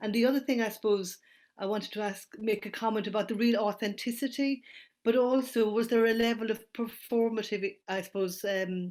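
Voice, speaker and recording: A woman with an Irish accent, fairly high in pitch, at a fairly quick pace with fairly even intonation. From Ireland. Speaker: audience member. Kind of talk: audience question. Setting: online talk.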